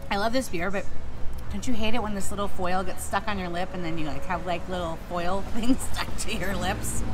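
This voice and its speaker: A woman talks fairly quickly and with fairly even intonation as music plays in the background. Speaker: food vlogger. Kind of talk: casual vlog chat. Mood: relaxed, playful. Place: cafe. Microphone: phone near.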